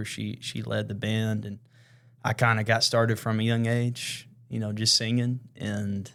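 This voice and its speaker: On a very clean recording with a silent background, a man with a Southern US accent speaks in a monotone, flat way at a moderate pace and a fairly low pitch. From West Tennessee (Jackson). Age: 20s. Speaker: worship leader. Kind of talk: casual chat. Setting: studio.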